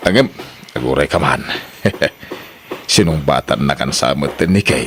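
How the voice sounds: A man puts on a character voice with an extremely low pitch and a fairly bright tone. He speaks slowly, his intonation lively.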